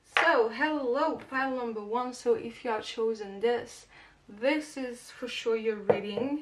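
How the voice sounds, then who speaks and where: Through noticeable background noise, a woman with a high pitch speaks at a fairly slow pace with ordinary pitch variation. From Portugal and France. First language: Portuguese or French. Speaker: tarot reader. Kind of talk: tarot reading to camera, casual. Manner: casual, hesitant with fillers.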